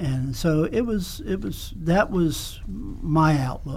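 A man with a South Carolina accent speaks amid audible room echo. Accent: Southern US (South Carolina). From US South, South Carolina (Kingstree). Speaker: music teacher. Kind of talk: casual interview.

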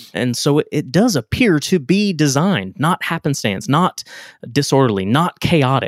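A man's fairly high voice at a moderate pace, full of very wide pitch swings, in a dry, close sound with no echo. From Texas. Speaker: podcast co-host. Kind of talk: casual chat.

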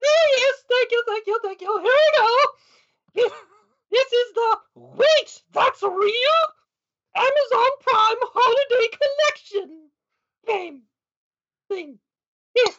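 A woman speaks in a playful tone at an extremely high pitch with ordinary pitch variation. Her pace is very slow, with long, frequent pauses. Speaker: game show host character. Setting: online video show. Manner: playful, giggly.

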